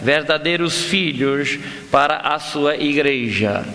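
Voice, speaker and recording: Audible room echo hangs around a man's voice. Noticeable background noise is also present. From Brazil, Amazonas (Manaus), son of foreign missionaries. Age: 50s. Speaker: pastor. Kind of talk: sermon. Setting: church. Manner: halting.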